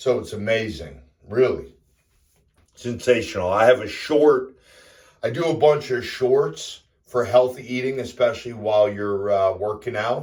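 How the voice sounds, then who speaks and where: With an American accent, a man speaks at a fairly slow pace in a medium pitch, his voice somewhat breathy. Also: ordinary pitch variation. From US Northeast. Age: 50s. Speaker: fitness vlogger. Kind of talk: casual vlog monologue. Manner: casual, with fillers.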